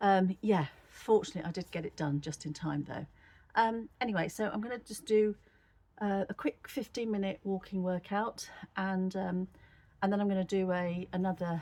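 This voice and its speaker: The speaker has an English accent and a dark, mellow tone. Pitch variation stays ordinary. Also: woman, medium pitch for a woman, moderate pace. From England. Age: 60s. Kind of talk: casual talk to camera.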